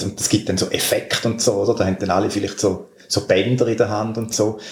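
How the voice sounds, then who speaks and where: There is noticeable background noise as a man speaks at a fairly quick pace with a fairly low pitch. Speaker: podcast host. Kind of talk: casual chat. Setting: at a guest's home.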